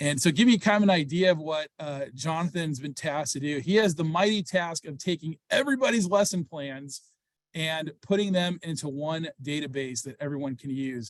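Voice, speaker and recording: A man with a normal speaking voice talks at a moderate pace and a fairly high pitch, with ordinary pitch variation and big swings in loudness, the sound dry and close with no echo. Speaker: program organizer. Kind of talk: informational webinar.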